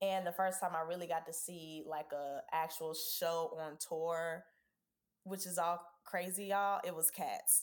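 A woman talks in an ordinary speaking voice with an American accent, fairly low in pitch. Her pace is fairly slow and her intonation fairly even. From US South, Georgia (Savannah and Atlanta). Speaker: Broadway performer. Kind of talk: casual chat.

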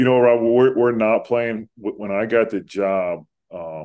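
This man has a normal speaking voice with an American accent. He talks at a fairly slow pace with fairly even intonation. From Central New Jersey (Pennington). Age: 30s. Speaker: college basketball head coach. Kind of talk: interview.

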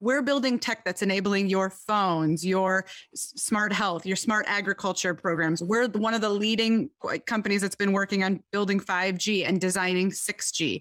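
A woman speaks with a Midwestern US accent at medium pitch and a moderate pace, her intonation fairly even. The recording is very clean with a silent background. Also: very even loudness. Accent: US Midwest. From Michigan, US. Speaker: tech company sustainability executive. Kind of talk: interview.

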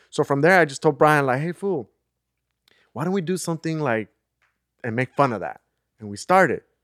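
A man's fairly high-pitched voice at a fairly quick pace, with long, frequent pauses, in a dry, close, echo-free recording that is very clean with a silent background. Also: lively intonation. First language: Spanish. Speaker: podcast host. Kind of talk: casual chat.

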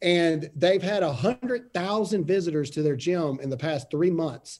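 At a moderate pace, the speech carries a dark, mellow tone. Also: man. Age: 30s. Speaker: podcast host and political commentator. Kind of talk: casual interview.

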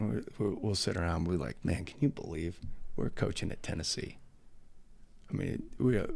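With an American accent, a man speaks fairly quickly in a very deep, low voice with vocal fry and lively intonation. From Nebraska, US Midwest. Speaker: college football coach. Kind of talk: casual interview. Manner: energetic.

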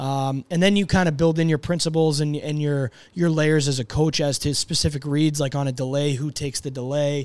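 On a very clean recording with a silent background, a man with an American accent and a fairly high pitch talks at a fairly quick pace in a plain, everyday voice. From Boston, US. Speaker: hockey coach. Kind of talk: casual chat. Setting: studio.

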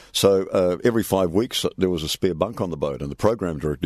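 A man with a New Zealand accent, very fast in pace and very deep, low in pitch, against a quiet background. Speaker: retired radio presenter. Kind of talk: casual interview.

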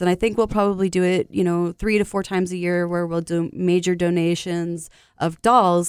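A woman talks at medium pitch and a moderate pace in an ordinary speaking voice. The recording is very clean with a silent background, and the sound is dry and close with no echo. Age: 30s. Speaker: childhood cancer survivor and charity founder. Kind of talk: interview.

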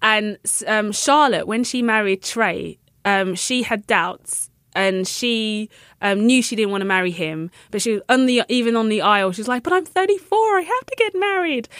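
Speaking at a moderate pace with lively intonation, a woman in a London accent has a fairly high pitch, recorded very cleanly against a silent background with a dry, close sound and no echo. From London, England. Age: 30s. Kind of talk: casual interview.

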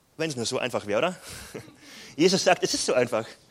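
This man speaks very fast with a fairly high pitch. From southern Bavaria, near Salzburg. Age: 20s. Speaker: pastor. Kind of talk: sermon.

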